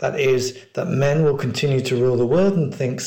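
The clip features a natural reading voice. Its pitch varies in an ordinary way.

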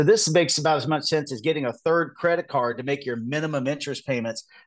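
An ordinary speaking voice from a man with an American accent, fairly high in pitch with ordinary pitch variation, at a fairly quick pace over a quiet background. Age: 50s. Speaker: presidential candidate. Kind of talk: interview.

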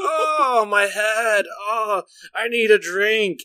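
A loud, whiny, put-on character voice speaks at a fairly high pitch. The pace is very slow. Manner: loud groaning, whining.

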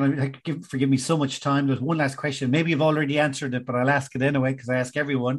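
A man with an Irish accent, fairly high pitch, monotone, flat intonation, a very fast pace and hardly any pauses. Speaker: podcast host. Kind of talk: casual interview.

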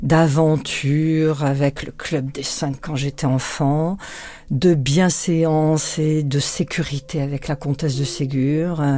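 Over noticeable background noise, a woman speaks very slowly at a very deep, low pitch. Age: 60s. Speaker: public prosecutor. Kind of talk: interview conversation.

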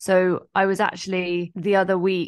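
A woman with a medium-pitched voice delivers her words in a monotone, flat intonation. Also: quiet background. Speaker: entrepreneurship coach and founder. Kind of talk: interview conversation.

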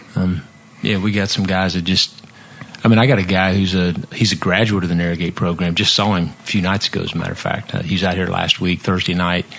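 A man with a very deep, low pitch and an American accent speaks very fast in a monotone, flat intonation against noticeable background noise. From Missouri. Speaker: nonprofit founder, former musician. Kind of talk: casual chat.

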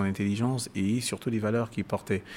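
Recorded very cleanly with a silent background, a man with a fairly low pitch speaks at a moderate pace and fairly even intonation. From Cameroon. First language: Bassa (speaking French). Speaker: musician and author. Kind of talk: interview. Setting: live event venue. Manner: halting.

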